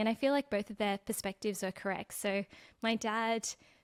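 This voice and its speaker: Recorded very cleanly with a silent background and a dry, close sound without echo, a woman with an Australian accent talks at a fairly quick pace and fairly high pitch. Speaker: personal finance content creator. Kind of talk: podcast interview.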